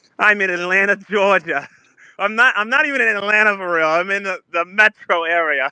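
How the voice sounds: A man with a high pitch and an American accent, raised and projected, with a bright, sharp tone, a fairly quick pace and ordinary pitch variation, in a dry, close sound with no echo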